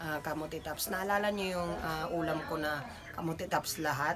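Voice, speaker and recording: Speech moves at a moderate pace while noticeable background noise runs beneath it. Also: woman. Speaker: home vlogger. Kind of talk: casual vlog chat. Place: home room. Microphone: phone near.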